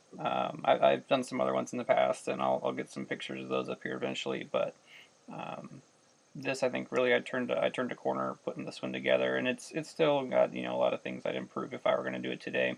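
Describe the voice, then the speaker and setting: Very fast speech runs over noticeable background noise. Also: man. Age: 30s. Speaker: scale modeler, Army veteran. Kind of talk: casual talk to camera. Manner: monotone.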